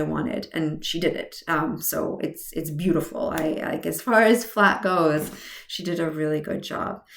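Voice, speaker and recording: Over noticeable background noise, a woman speaks at a fairly low pitch with lively intonation. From Hungary. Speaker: cancer patient vlogger. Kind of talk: personal vlog monologue. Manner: halting, many fillers and restarts.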